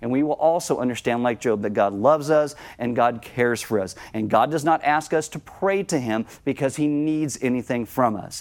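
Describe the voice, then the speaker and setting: A man's medium-pitched voice with ordinary pitch variation and hardly any pauses. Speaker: pastor. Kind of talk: sermon. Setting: church. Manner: fast talker.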